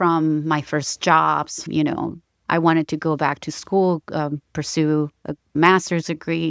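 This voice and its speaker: In a very clean recording with a silent background and a dry, close sound with no echo, a woman with a very deep, low pitch talks at a very slow pace in a monotone, flat intonation, with hardly any pauses. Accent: Mexican. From Mexico, border town. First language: Spanish. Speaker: mother in a custody dispute. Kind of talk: interview testimony.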